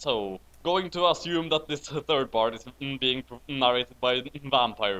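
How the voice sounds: A man talks fairly slowly at medium pitch with ordinary pitch variation. His tone is bright and sharp.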